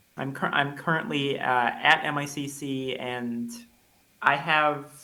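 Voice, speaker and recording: Audible room echo surrounds a man's medium-pitched voice. His intonation is monotone and flat. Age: 20s. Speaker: college student. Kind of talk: interview. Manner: halting, many repetitions and fillers.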